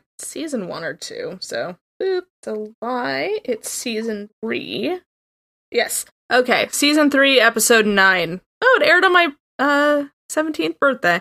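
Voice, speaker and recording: Projecting her voice, a woman speaks at a high pitch with very wide pitch swings. Her fairly slow delivery sounds dry and close, with no echo. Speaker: podcast co-host. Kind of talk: casual chat. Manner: animated.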